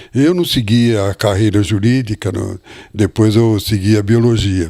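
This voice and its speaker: This man's fairly low voice has a dark, mellow tone and moves at a fairly slow pace, captured on a very clean recording with a silent background. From Brazil, Botucatu, São Paulo interior. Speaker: retired biologist, former lawyer. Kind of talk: interview. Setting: at home.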